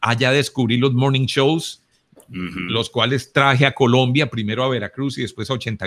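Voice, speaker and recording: This man has a plain, everyday voice at medium pitch, with fairly even intonation and a fairly quick pace. The sound is dry and close, with no echo. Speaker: radio broadcaster, announcer and consultant. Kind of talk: interview answer about his radio career. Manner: conversational, reflective.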